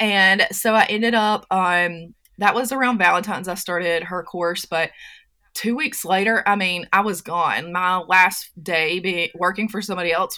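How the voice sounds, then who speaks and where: Speaking with a Southern US accent, a woman at medium pitch has a bright, sharp tone on a very clean recording with a silent background. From US South, North Carolina. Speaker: entrepreneur and personality coach. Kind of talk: casual interview chat.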